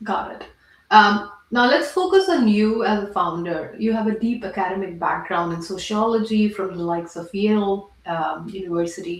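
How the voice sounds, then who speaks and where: Speaking at a moderate pace with a non-native accent, a woman uses a medium pitch and ordinary pitch variation, her loudness swinging widely against noticeable background noise. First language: not English. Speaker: podcast host, product leader and investor. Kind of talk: podcast interview.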